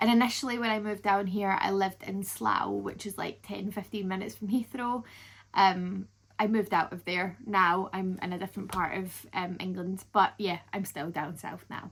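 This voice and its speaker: A woman talks at a medium pitch with a somewhat breathy quality. The recording is very clean, with a silent background. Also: fairly even intonation, moderate pace. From Scotland, Paisley near Glasgow. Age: 20s. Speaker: travel vlogger. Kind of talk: casual Q&A vlog.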